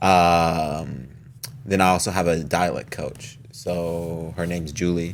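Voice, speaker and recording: A mumbling man with a very deep, low pitch and fairly even intonation. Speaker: actor. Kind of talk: casual chat. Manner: tends to mumble.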